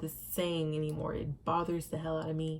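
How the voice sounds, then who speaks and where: With an American accent, a woman speaks in a very deep, low pitch marked by vocal fry. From Indiana and Savannah, Georgia (US). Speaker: vlogger. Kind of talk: personal vlog monologue. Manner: mumbles sometimes; emphatic, repetitive.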